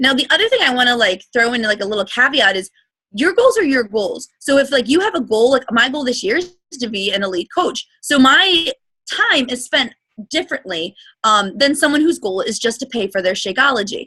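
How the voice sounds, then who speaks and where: Raised and projected, a woman's high, bright, sharp voice moves at a fairly quick pace with very wide pitch swings. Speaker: fitness business coach. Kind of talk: training call presentation. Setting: online group call with screen share. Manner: fast.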